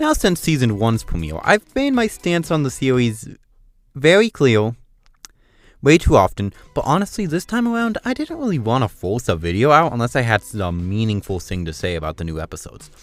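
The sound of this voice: On a very clean recording with a silent background, a man talks at a moderate pace, his pitch swinging widely. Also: medium pitch for a man.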